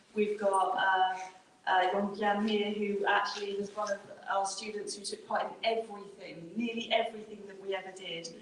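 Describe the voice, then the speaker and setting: With audible room echo and noticeable background noise, a woman speaks at a medium pitch and moderate pace in monotone, flat intonation, her loudness swinging widely. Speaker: university team manager. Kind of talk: closing remarks at panel event. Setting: event room with audience, microphone.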